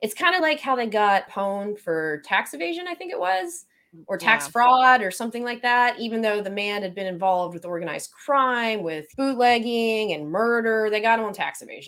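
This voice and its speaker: A woman with an American accent speaks at a moderate pace with hardly any pauses, in a fairly high, bright, sharp voice. Her pitch swings very widely and her loudness shifts by big amounts. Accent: Southern, thicker than usual today. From Florida panhandle. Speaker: podcast host.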